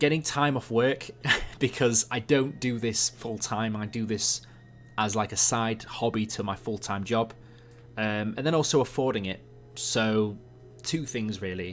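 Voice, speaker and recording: A man with an English accent speaks at a medium pitch and a fairly slow pace, his pitch varying in an ordinary way. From England. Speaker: YouTube animator streamer. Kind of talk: live stream Q&A. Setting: live stream. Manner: casual, halting with fillers.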